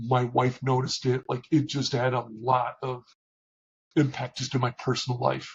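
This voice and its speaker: A man speaks at a moderate pace and medium pitch, somewhat breathy, in a monotone, flat intonation. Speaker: operations leader. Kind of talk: interview.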